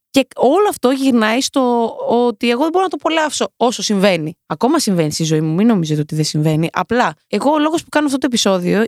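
A woman speaks at a high pitch and a moderate pace. Her pitch swings very widely, and the sound is dry and close with no echo. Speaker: podcast host. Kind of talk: casual monologue. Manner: animated.

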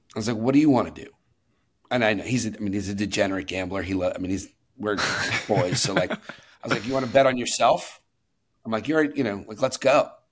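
Recorded very cleanly against a silent background, a man with an American accent speaks at a very fast pace with long, frequent pauses and ordinary pitch variation. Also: medium pitch for a man. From New York City. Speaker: venture capital investor. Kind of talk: interview. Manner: animated.

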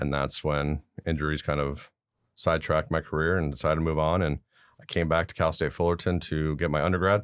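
In an American accent, a man speaks very fast with a very deep, low pitch and monotone, flat intonation against a quiet background. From Southern California, Garden Grove. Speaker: college baseball head coach. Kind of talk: casual interview. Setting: studio.

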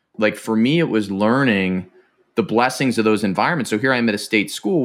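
A man with an American accent, an unremarkable speaking voice, fairly low pitch and ordinary pitch variation at a fairly quick pace, on a very clean recording with a silent background. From Ohio, small town west of Cleveland. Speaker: former Navy SEAL and tech entrepreneur. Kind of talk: casual interview.

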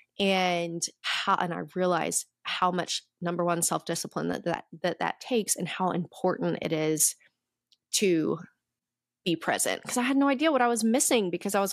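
A woman with an unremarkable speaking voice talks at medium pitch with ordinary pitch variation, and the sound is dry and close with no echo. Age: 30s. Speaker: photography business owner and wellness retreat founder. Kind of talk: casual interview chat.

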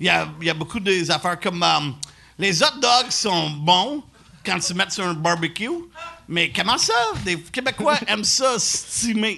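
A man with a high pitch speaks in a raised, projected voice at a fairly slow pace, with lively intonation and long, frequent pauses. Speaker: comedian. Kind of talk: live comedy podcast before audience. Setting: stage with audience. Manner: animated; loud.

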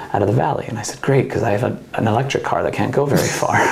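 The speech moves at a very fast pace. Noticeable background noise and audible room echo come through. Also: man. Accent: American. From New Jersey. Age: 30s. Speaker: winemaker. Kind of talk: oral history interview. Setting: wine bar.

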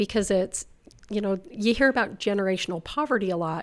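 An ordinary speaking voice belongs to a woman talking at a moderate pace and medium pitch with ordinary pitch variation. The recording is very clean, with a silent background. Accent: American. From Utah (South Weber, northern Utah). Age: 50s. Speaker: youth shelter outreach coordinator. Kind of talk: interview.

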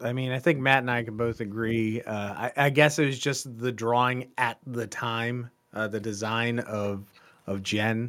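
A man with a medium-pitched, ordinary speaking voice talks at a fairly slow pace with fairly even intonation in a very clean recording with a silent background. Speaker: co-host pop culture commentator. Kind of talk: casual chat. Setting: studio.

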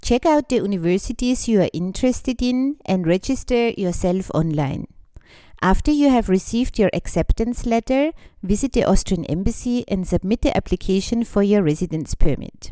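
A woman with fairly high pitch and an ordinary speaking voice, at a moderate pace with lively intonation, on a very clean recording with a silent background. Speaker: podcast host. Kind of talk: casual interview chat.

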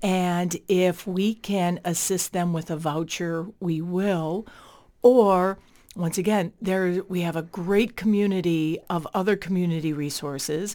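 A woman with an American accent speaks at a fairly slow pace in a dark, mellow tone with fairly even intonation, on a very clean recording with a silent background. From Chicago. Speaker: nonprofit executive director. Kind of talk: radio interview.

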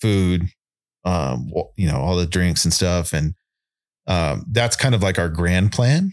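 In a Californian accent, a man speaks fairly slowly at a very deep, low pitch with ordinary pitch variation, on a very clean recording with a silent background. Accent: Californian American. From Southern California. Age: 30s. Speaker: firefighter paramedic. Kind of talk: casual chat.

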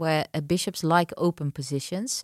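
In a very clean recording with a silent background, a woman speaks with a Dutch accent. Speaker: chess grandmaster. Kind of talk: interview; tutorial. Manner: halting.

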